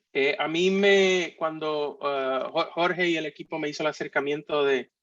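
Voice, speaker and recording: A man talks at a fairly slow pace, his fairly high pitch showing ordinary pitch variation. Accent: Puerto Rican. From Puerto Rico. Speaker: architect and industry speaker. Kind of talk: conference talk. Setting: virtual conference. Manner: halting, many fillers.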